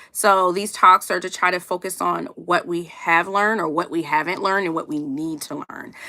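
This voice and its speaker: Loud and with hardly any pauses, a woman speaks in a bright, sharp tone with an American accent. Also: moderate pace. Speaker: HR professional and career coach. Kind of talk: livestream talk. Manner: animated.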